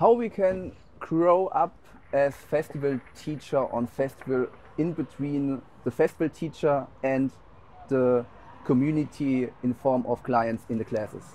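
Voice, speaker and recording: With a German accent, a man speaks fairly slowly in a fairly high pitch, his tone dark and mellow and his pitch variation ordinary. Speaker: dance teacher. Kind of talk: interview. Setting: dance festival.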